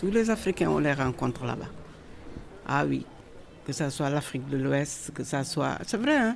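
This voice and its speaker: Long pauses come often in this woman's speech. She talks at a fairly slow pace. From Senegal. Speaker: immigrant woman interviewee. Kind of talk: personal testimony.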